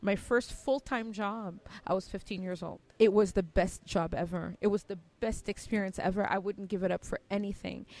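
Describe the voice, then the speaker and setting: A woman with an American accent and a medium pitch, at a moderate pace with fairly even intonation, on a very clean recording with a silent background. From Cameroon. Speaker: tech entrepreneur. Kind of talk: interview.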